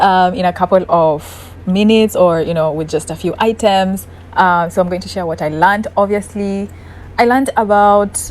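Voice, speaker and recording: Her intonation is fairly even. This woman speaks at a medium pitch. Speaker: lifestyle vlogger. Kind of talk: casual apartment tour vlog. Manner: sped-up playback, naturally slow talker.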